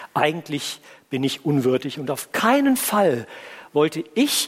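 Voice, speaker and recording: Very wide pitch swings mark this man's delivery at a very slow pace. Noticeable background noise sits behind him. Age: 50s. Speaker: pastor. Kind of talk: sermon.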